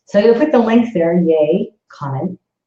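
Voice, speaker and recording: A woman's somewhat breathy, dark, mellow voice with lively intonation. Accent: Canadian. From Northern Ontario, Canada. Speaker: psychic medium, livestream host. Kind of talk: casual livestream chat. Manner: animated, enthusiastic.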